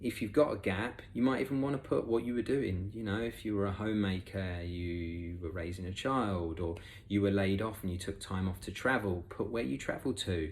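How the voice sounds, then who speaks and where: A man's fairly low voice at a moderate pace, with ordinary pitch variation and audible room echo. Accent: English. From England. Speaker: recruitment expert, conference speaker. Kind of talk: conference talk. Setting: remote presentation. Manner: casual, with many fillers.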